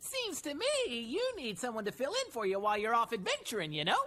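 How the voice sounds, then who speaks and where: In a cartoonish character voice, a woman speaks very fast at a fairly high pitch. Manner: ends sentences with "you know?".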